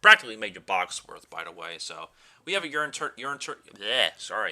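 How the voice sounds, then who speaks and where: A man's bright, sharp tone with vocal fry, very wide pitch swings and a very fast pace. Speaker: card game YouTuber. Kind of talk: deck profile tutorial. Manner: animated.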